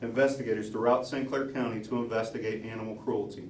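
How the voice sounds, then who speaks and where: A man with an American accent speaks in a monotone, flat intonation. Noticeable background noise and audible room echo come through. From US Midwest, southern Illinois (Dupo). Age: 40s. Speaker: police officer and sheriff candidate. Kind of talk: campaign announcement speech. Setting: party headquarters with audience.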